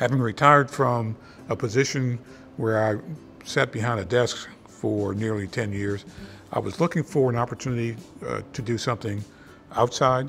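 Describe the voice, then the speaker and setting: Music plays behind a man who speaks at medium pitch and a moderate pace, with ordinary pitch variation and long, frequent pauses. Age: 60s. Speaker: retiree, volunteer. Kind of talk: documentary interview.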